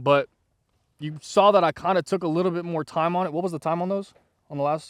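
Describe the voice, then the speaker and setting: A man speaks in a high, energetic voice at a very fast pace. The sound is dry and close with no echo, on a very clean recording with a silent background. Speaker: firearms YouTuber. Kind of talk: casual range vlog. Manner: stuttering.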